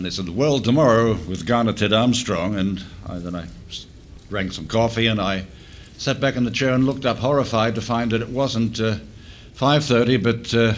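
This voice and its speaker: A man speaks at medium pitch with ordinary pitch variation, and audible room echo surrounds his voice. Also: moderate pace. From Australia. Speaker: former offshore radio DJ. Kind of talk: reunion panel reminiscing. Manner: halting, many fillers.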